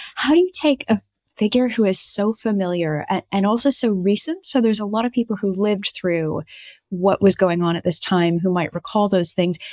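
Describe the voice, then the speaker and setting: A woman with an ordinary speaking voice, medium pitch and ordinary pitch variation in a very clean recording with a silent background. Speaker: podcast co-host and author. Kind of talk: casual chat.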